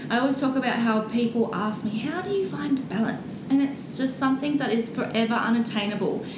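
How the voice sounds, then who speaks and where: A woman's fairly high, fairly even voice in an Australian accent, at a fairly quick pace with hardly any pauses, amid noticeable background noise. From Brisbane, Australia. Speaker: social media influencer. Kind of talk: interview.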